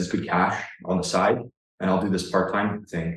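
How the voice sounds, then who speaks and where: Speaking with a Canadian accent, a man uses a very deep, low pitch and monotone, flat intonation, with audible room echo around him. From Ontario, Canada. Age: 30s. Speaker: online fitness coach. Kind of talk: casual interview conversation.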